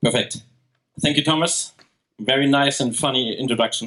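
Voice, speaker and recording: A man with a German accent talks at a fairly high pitch. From Germany. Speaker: podcast co-host. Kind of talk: live interview. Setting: stage with audience.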